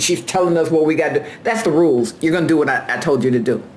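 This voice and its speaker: Loud and animated, a woman with a very deep, low pitch and very wide pitch swings speaks through audible room echo and noticeable background noise. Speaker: carpenter and former union steward. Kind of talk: casual vlog monologue.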